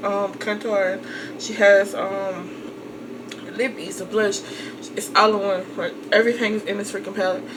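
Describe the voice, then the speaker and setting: Noticeable background noise and audible room echo fill the recording. A woman talks over it at a moderate pace with fairly even intonation. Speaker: makeup vlogger. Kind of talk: tutorial. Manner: casual, filler-heavy.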